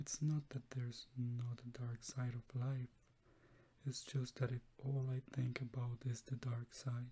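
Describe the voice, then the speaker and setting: A soft-spoken man talks at a fairly slow pace, his medium-pitched voice dark, mellow and somewhat breathy. His tone is calm and his intonation monotone and flat. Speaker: clinical psychology grad student. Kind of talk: reading of a client's case testimonial. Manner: soft-spoken, calm.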